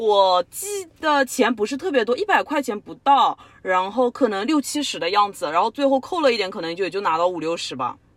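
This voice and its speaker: Her pitch fairly high with very wide swings, a woman talks at a fairly quick pace. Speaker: podcast co-host. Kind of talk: casual chat.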